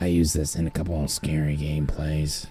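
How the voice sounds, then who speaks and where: A man puts on a character voice, very deep, low in pitch, raspy and strained, with a menacing tone. He delivers it at a fairly slow pace in a monotone, flat intonation while faint music plays in the background. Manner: menacing, creepy.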